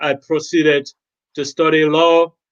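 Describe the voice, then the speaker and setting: Speaking in a Gambian accent at a fairly high pitch, a man sounds dry and close, with no echo. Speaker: lawyer and medic. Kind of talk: panel discussion.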